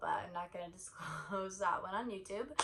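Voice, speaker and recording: Audible room echo around a woman speaking at medium pitch. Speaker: vlogger. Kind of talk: casual chat.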